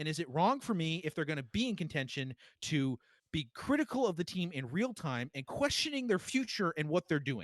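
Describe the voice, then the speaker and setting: A loud man with an American accent speaks at a fairly quick pace in an animated tone, his high voice swinging very widely in pitch, recorded dry and close with no echo, very cleanly, against a silent background. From Boston. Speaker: sports podcast host. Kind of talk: casual chat.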